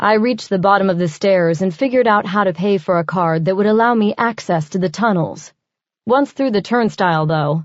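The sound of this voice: The reading voice sounds unforced, with ordinary rises and falls in pitch. The background is quiet.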